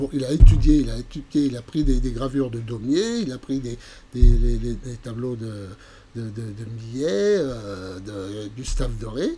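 A man at a fairly slow pace, with big swings in loudness, ordinary pitch variation and audible room echo. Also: medium pitch for a man. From France, Burgundy (Montceau-les-Mines area). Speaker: amateur painter and art workshop leader. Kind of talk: interview. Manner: halting, many repetitions and fillers.

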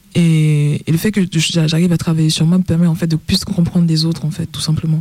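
With a monotone, flat intonation, a woman talks at a fairly low pitch. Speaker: DJ and festival organizer. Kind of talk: radio panel discussion. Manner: halting.

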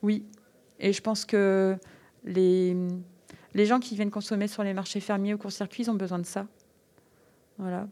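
Her tone dark and mellow, a woman speaks at medium pitch with monotone, flat intonation, a fairly slow pace and long, frequent pauses. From French Flanders, northern France. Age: 40s. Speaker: aromatic herb farmer. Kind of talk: casual interview.

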